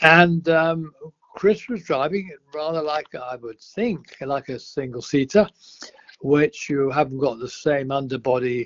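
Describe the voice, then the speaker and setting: Here a man speaks with a fairly high pitch and ordinary pitch variation. His loudness swings widely. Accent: English. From England. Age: 80s+. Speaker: retired racing driver. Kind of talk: podcast interview answer.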